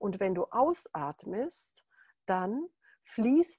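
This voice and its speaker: The voice moves at a very slow pace in a calm, soothing, dark, mellow tone. Its pitch swings very widely, and the sound is dry and close with no echo. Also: woman. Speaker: meditation teacher. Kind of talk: guided meditation. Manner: calm, slow, soothing; gentle, instructive.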